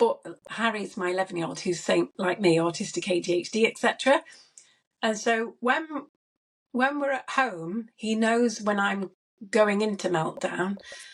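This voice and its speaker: A woman with an unremarkable speaking voice talks at a fairly high pitch and a moderate pace. Her pitch variation is ordinary. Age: 40s. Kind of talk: casual chat.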